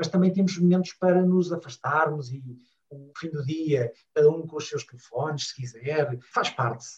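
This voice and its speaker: A man talks at a moderate pace with a fairly high pitch and ordinary pitch variation. His loudness swings widely. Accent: Lisbon. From Portugal, Lisbon. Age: 40s. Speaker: family travel blogger. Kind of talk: casual interview chat.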